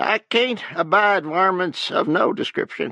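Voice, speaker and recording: Putting on a character voice with an Appalachian accent, a man speaks at a high pitch and a fairly slow pace. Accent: Appalachian backwoods. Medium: read story. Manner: prying, blunt.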